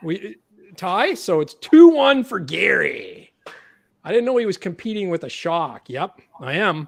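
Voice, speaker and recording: Speaking at a fairly slow pace, a man with a Canadian accent uses a high pitch and very wide pitch swings. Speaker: podcast host. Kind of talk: casual chat. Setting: livestream. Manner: animated.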